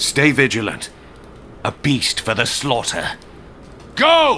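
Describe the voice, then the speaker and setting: A man puts on a character voice at a medium pitch, speaking at a fairly slow pace. Clear background noise runs behind him. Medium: video game. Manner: terse, determined.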